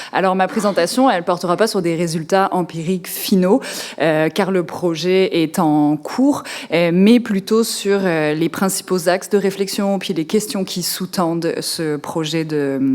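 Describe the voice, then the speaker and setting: A woman at medium pitch with ordinary pitch variation, a moderate pace and noticeable background noise. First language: French. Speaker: law professor. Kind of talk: academic presentation.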